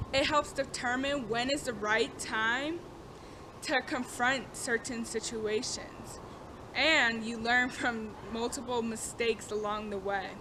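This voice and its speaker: A woman's high voice holds fairly even intonation. There is noticeable background noise. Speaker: student. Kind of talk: class informative speech. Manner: stuttering.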